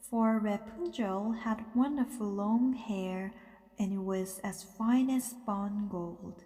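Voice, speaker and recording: A woman speaks at a very slow pace with a fairly high pitch. Noticeable background noise is present. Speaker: English teacher and interpreter/translator. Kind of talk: sleep story, bedtime story reading.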